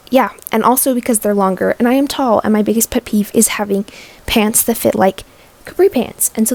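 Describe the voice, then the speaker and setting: A woman's fairly high voice with ordinary pitch variation, dry and close with no echo, against noticeable background noise. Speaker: crafting vlogger. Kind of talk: tutorial vlog. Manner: fast; casual.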